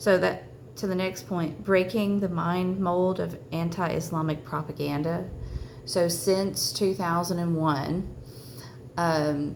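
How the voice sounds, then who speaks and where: A woman's fairly low voice at a very slow pace, with audible room echo. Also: ordinary pitch variation. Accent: Southern US. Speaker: religious vlogger. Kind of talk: personal testimony. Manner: halting, many fillers.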